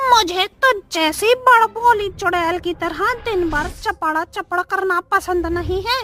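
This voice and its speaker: This is a put-on character voice that sounds female. It is pitched extremely high and moves at a fairly slow pace. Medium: read story.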